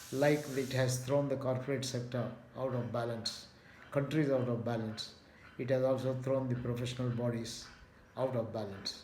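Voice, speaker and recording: With noticeable background noise and audible room echo, a man speaks in a monotone, flat intonation. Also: medium pitch for a man, moderate pace. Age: 70s. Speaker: retired management professor. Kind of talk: video talk. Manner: measured with frequent fillers.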